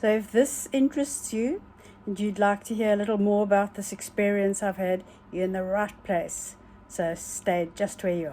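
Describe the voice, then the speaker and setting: At a moderate pace, a woman talks in a dark, mellow tone at medium pitch with ordinary pitch variation. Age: 70s. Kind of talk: casual talk to camera. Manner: humorous, chatty.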